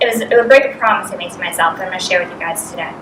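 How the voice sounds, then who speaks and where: Noticeable background noise and audible room echo surround a woman speaking at a fairly high pitch with an American accent. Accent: Boston, thick when nervous. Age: 30s. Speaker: business coach. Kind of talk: motivational talk. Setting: stage with audience. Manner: fast; animated.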